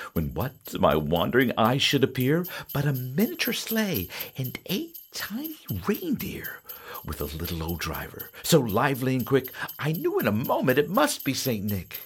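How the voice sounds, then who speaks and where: Background music accompanies the recording. Over it, a man speaks at a moderate pace. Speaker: storyteller and guitarist, podcast host. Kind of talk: reading aloud a classic Christmas poem, storybook-style narration. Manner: warm, cozy, rhythmic sing-song cadence with gentle animation; playful and jolly, with a hearty 'ho ho ho' at the close.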